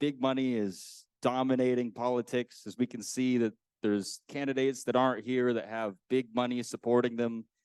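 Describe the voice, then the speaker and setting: At a fairly quick pace, an unremarkable speaking voice comes through with a dry, close sound, no echo and a quiet background. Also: man. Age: 20s. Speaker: political candidate, graduate student. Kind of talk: opening statement at candidate forum.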